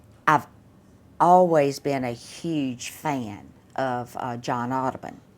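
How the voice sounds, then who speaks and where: A woman with a Southern US accent and a very deep, low pitch speaks very slowly, with ordinary pitch variation. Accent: non-local Southern. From US South, South Mississippi (Laurel). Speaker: artist. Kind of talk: interview.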